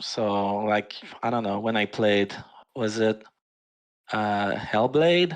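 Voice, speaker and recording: A man speaks with a French Canadian accent at a very slow pace. His speech has long, frequent pauses. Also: fairly low pitch for a man, ordinary pitch variation. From Quebec, Canada. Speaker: forum moderator. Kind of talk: casual chat. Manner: hesitant, many fillers.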